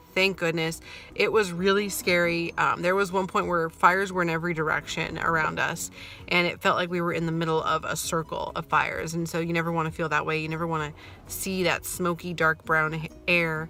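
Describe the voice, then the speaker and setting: Quiet and fairly quick, the voice has a bright, sharp tone and a monotone, flat intonation. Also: woman, fairly low pitch for a woman. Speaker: mom vlogger. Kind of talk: casual vlog update. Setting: in a car.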